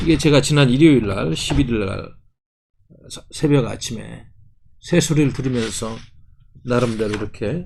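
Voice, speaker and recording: A man's medium-pitched voice at a moderate pace, with vocal fry, lively intonation, big swings in loudness, long, frequent pauses and audible room echo. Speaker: party policy chief and commentator. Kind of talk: political commentary monologue.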